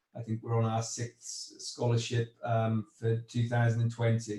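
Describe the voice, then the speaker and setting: A man speaks with a Welsh accent in a dark, mellow tone. His voice is somewhat breathy. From Wales. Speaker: agricultural investment executive. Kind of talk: panel discussion. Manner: halting.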